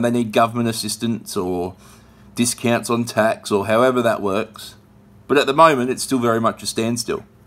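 With fairly even intonation, a man speaks at a fairly quick pace. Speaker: vlog host. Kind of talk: casual vlog commentary. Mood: sad, reflective. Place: home room. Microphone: phone near.

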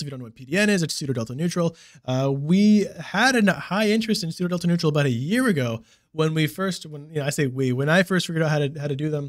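This voice races at a very fast pace with big swings in loudness and ordinary pitch variation over a quiet background. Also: man. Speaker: crypto channel host. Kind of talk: casual panel discussion. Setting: video call.

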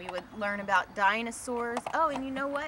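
Speaking with an American accent, a woman uses a fairly high pitch and ordinary pitch variation. Her voice sounds dry with no echo, against loud background noise. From Pennsylvania, Delaware County (Media, Springfield); Pennsylvania. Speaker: filmmaker; interviewee. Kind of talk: interview. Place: garden. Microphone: camera far.

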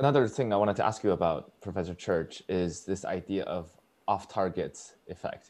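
A man with an unremarkable speaking voice keeps his pitch fairly low, varies it in an ordinary way, and moves at a moderate pace. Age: 20s. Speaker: student podcast host. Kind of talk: interview. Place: home room. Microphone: lapel.

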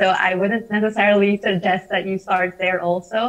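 A woman's medium-pitched voice, monotone and flat in intonation, at a moderate pace over a quiet background. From Philippines. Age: 20s. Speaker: climate activist; panelist. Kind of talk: panel discussion. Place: home room. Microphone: earbuds.

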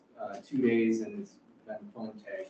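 A man with a medium pitch and a slightly mellow tone talks amid audible room echo.

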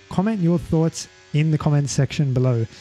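Music sits in the background while the speech moves at a moderate pace. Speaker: racing driving coach. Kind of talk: sim racing tutorial narration.

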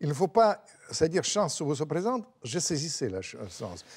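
A man with lively intonation at a moderate pace over a quiet background. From Russia. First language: Russian (speaking French). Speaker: writer and former diplomat; interviewee. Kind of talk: interview. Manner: animated. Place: studio. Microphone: lapel.

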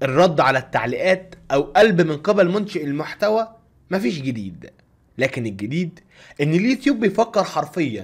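Over a quiet background, a man speaks at a moderate pace with an Egyptian accent. His high voice swings very widely in pitch. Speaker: YouTube content creator. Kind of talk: tutorial. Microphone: studio mic.

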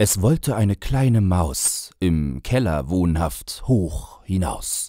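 A man's fairly low, dark, mellow, somewhat breathy voice with very wide pitch swings at a very slow pace, on a very clean recording with a silent background. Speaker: author and voice narrator. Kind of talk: humorous poetry reading.

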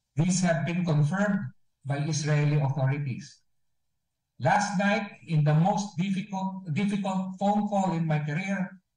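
Fairly slow pace and fairly even intonation, with audible room echo. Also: man. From Philippines. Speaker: ambassador. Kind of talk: press briefing statement. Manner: formal. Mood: solemn, somber. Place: office. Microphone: video call.

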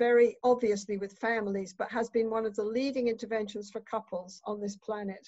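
Flat and monotone, a woman speaks with no change in intonation. The background is quiet and the sound is dry with no echo. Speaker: keynote speaker. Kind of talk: lecture. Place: home room. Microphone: webcam.

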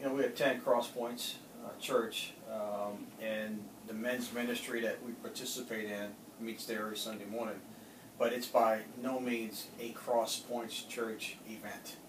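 A man speaks at a fairly slow pace in a monotone, flat intonation. Noticeable background noise runs underneath. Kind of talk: interview answer. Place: office. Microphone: camera far.

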